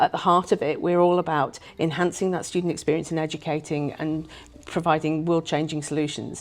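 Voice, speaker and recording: Against a quiet background, a woman with an English accent speaks fairly quickly in a fairly low pitch with monotone, flat intonation. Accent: very English. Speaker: university director of strategic planning. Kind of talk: interview. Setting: conference.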